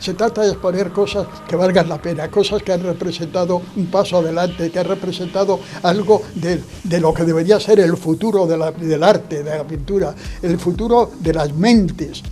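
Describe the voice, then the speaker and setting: With noticeable background noise, a man talks at a moderate pace in a high pitch and a fairly even intonation. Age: 80s+. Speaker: son of an artist, speaking at exhibition. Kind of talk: interview at exhibition opening. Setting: art gallery. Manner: halting.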